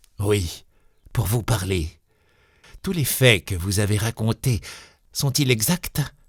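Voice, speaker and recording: A hoarse, raspy put-on character voice from a man, fairly low in pitch, at a fairly slow pace with long, frequent pauses. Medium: read story. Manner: blunt, abrupt.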